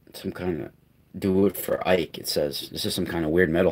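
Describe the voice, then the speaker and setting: A man speaks at a moderate pace in a very deep, low voice over noticeable background noise. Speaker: online video host. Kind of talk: casual live stream talk. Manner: halting, with fillers.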